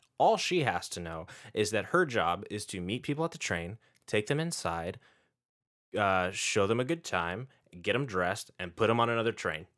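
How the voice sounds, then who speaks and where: A man with an American accent and an ordinary speaking voice talks at a moderate pace in a fairly low pitch on a very clean recording with a silent background. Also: lively intonation. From San Francisco Bay Area, US. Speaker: podcast host. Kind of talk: casual podcast chat.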